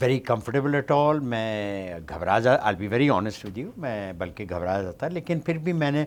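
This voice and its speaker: Speaking at a moderate pace with hardly any pauses, a man uses a medium pitch that takes very wide swings. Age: 60s. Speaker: actor. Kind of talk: interview. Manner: hesitant, code-switching.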